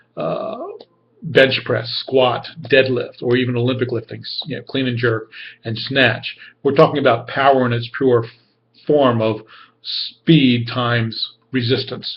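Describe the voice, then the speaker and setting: A man's somewhat breathy, medium-pitched voice in a monotone, flat intonation. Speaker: graduate student. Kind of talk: class discussion video post. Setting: webcam recording. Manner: fast. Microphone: camera keeps cutting out.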